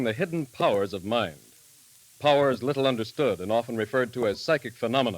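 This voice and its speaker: Over music in the background, a man speaks fairly quickly at a medium pitch with lively intonation. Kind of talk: vintage radio announcer.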